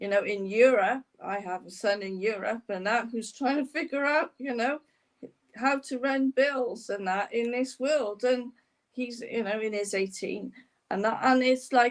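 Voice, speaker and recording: Her pitch is fairly high, and she speaks at a fairly slow pace. This woman has a plain, everyday voice with ordinary pitch variation. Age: 60s. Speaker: podcast host. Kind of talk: interview.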